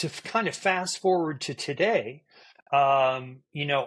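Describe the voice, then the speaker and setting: In a quiet background, a man talks in a fairly high pitch with ordinary pitch variation. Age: 60s. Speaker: cognitive neuroscientist and endurance athlete. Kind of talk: podcast interview. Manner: halting.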